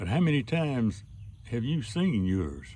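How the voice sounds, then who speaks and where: A somewhat breathy man with a Southern US accent and very wide pitch swings. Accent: Southern American. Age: 80s+. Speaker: storyteller; military veteran. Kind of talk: spoken opinion essay to camera.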